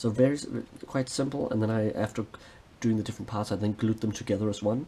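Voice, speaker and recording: Very fast and somewhat breathy, a man speaks at a medium pitch with a dark, mellow tone. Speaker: hobby vlogger. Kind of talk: hobby tutorial vlog.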